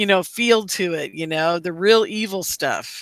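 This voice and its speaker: Her voice bright and sharp in tone, a woman speaks at a fairly slow pace with ordinary pitch variation in a very clean recording with a silent background. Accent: American. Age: 60s. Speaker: radio host. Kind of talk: casual chat.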